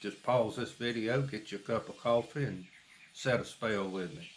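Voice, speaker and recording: A man speaks in a North Carolina accent. His pace is fairly slow. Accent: Southern US (North Carolina). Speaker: small farmer and vlogger. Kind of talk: casual chat. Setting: outdoors on a porch.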